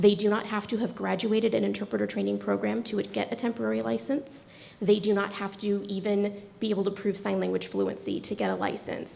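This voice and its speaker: Noticeable background noise sits under a woman's voice. She talks at a fairly quick pace with hardly any pauses. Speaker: deaf education administrator presenting to a board. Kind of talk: formal presentation. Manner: fast.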